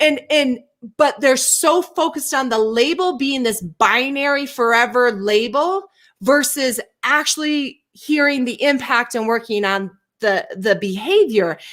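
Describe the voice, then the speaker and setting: A woman speaks at a high pitch with lively intonation and a fairly slow pace. The recording is very clean, with a silent background. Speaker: co-host of a live show on race and inclusion. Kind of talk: casual conversation. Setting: live video stream. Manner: halting, self-interrupting.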